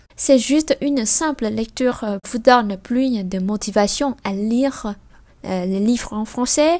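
At a fairly slow pace, a woman with an unremarkable speaking voice talks at a fairly high pitch with ordinary pitch variation. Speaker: French language teacher, channel host. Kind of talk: bilingual language lesson with reading aloud.

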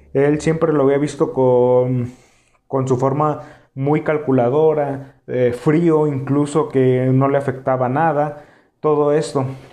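Very slowly and in a flat monotone, a man with a fairly high pitch and a dark, mellow tone speaks at very even loudness, with audible room echo. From Mexico, Tijuana (Baja California border). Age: 20s. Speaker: podcast host. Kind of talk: casual solo chat, anime discussion. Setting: live stream on YouTube.

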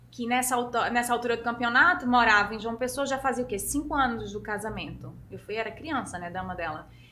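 Talking fairly quickly with hardly any pauses, a woman uses ordinary pitch variation amid noticeable background noise and audible room echo. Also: fairly high pitch for a woman. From Pernambuco interior, Brazil (Serra Talhada). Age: 30s. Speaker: fashion model. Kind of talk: interview.

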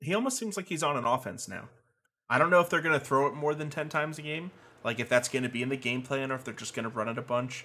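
The tone is bright and sharp, with ordinary pitch variation. The pace is very fast. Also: man, fairly high pitch for a man. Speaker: sports podcast co-host. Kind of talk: casual banter, football review.

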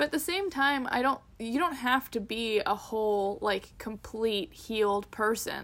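A woman with a Canadian accent and a plain, everyday voice speaks at a fairly slow pace and fairly high pitch, with lively intonation, very even loudness and hardly any pauses. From Canada. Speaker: podcast co-host. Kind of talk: casual chat.

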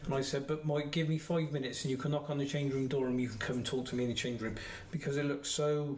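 With a West Country accent, a man with a fairly high pitch talks very fast in a monotone, flat, somewhat breathy voice with audible room echo. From Somerset, England. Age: 50s. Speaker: football referee. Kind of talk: casual chat.

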